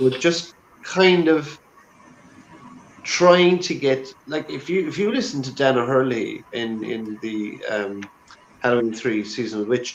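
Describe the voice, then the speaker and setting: Lively intonation marks this man's medium-pitched voice. He talks at a fairly slow pace, with long, frequent pauses. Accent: Irish. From Ireland. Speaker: actor. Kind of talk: casual chat.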